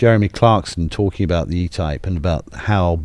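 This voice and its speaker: A man with a British accent, a very deep, low pitch, and ordinary pitch variation. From England. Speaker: automotive museum president. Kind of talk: casual chat. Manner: animated.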